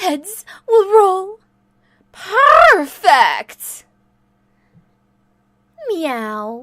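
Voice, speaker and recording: A woman puts on a character voice, pitched extremely high and swinging very widely in pitch. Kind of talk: fan voice reel of game lines. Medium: dub. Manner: playful, teasing.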